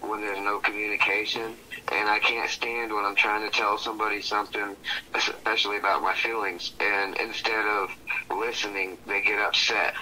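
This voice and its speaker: Noticeable noise in the background, a man keeps to a moderate pace. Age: 30s. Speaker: astrology reading subject. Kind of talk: casual chat.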